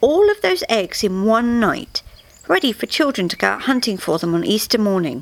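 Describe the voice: Someone is doing plain reading aloud.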